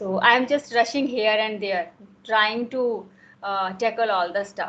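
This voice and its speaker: A woman with a Himachal Pradesh accent, fairly even intonation and a fairly slow pace. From India, Himachal Pradesh. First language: Himachali. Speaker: homemaker. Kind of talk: casual conversation.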